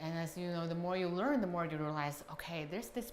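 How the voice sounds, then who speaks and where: A woman speaks at a fairly low pitch in a Chinese accent. Audible room echo fills the recording. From China. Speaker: customer giving a review. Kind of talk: testimonial interview.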